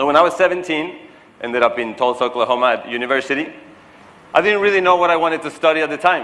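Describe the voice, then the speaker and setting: Speaking very fast with a Spanish accent, a man has a fairly high pitch and a bright, sharp, animated tone. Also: ordinary pitch variation. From Mexico. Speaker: keynote speaker. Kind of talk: keynote speech. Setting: stage with audience.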